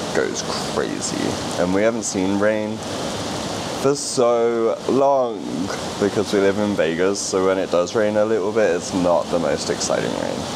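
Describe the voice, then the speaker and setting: With noticeable background noise behind him, a man speaks at a moderate pace. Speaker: travel vlogger. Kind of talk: casual vlog chat. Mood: cheerful, relaxed. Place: home room. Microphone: handheld.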